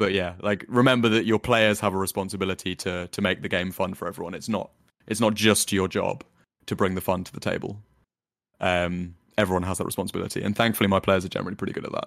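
A man speaks at a very fast pace with a very deep, low pitch and monotone, flat intonation. The recording is very clean, with a silent background. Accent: London. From London, England. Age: 20s. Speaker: dungeon master and software engineer. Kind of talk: casual interview chat.

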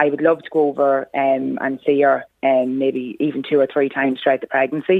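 A woman's very deep, low voice, monotone and flat, at a fairly quick pace. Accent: Irish. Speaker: mother. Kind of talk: interview. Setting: phone call. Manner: halting.

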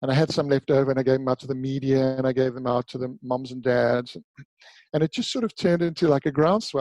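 A man's very fast, medium-pitched delivery with fairly even intonation, dry and close with no echo. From South Africa, Durban. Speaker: retired pro surfer and author. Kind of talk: interview conversation. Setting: remote call from home.

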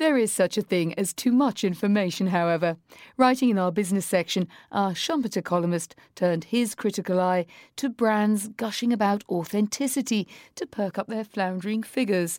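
On a very clean recording with a silent background, a woman talks at a fairly quick pace in a normal speaking voice at medium pitch. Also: ordinary pitch variation, dry, close sound with no echo. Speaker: magazine audio host. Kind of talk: formal newsreading, polished scripted delivery of magazine items with wry wordplay. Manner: crisp, measured, authoritative, dryly witty.

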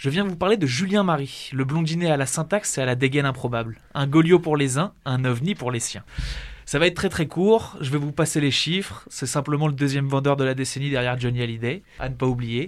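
Speaking at a fairly quick pace, a man uses an ordinary speaking voice with ordinary pitch variation. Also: fairly high pitch for a man. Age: young. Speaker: radio producer. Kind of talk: scripted segment.

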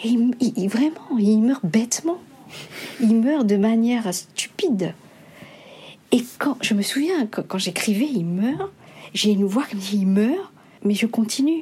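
With long, frequent pauses and lively intonation, a woman at a fairly high pitch speaks at a very slow pace against noticeable background noise. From Mauritius. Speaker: novelist. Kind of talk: interview. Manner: hesitant.

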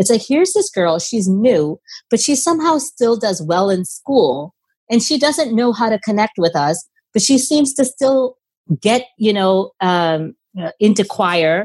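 Somewhat breathy, a woman speaks at a medium pitch and moderate pace, her loudness very even while her pitch swings very widely. The sound is dry and close, with no echo. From India, moved to US at 10. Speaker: immigration lawyer. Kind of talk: interview conversation.

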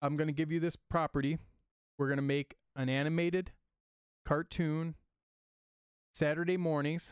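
In a dry, close sound with no echo, a man with an American accent speaks at a moderate pace and a fairly high pitch, monotone and flat, with very even loudness and long, frequent pauses. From Michigan, US Midwest. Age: 30s. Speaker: comic book creator. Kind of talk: casual chat.

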